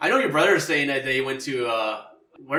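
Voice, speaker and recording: In a Canadian accent, a man with a fairly high pitch speaks amid audible room echo. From Canada. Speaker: podcast co-host. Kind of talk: casual chat.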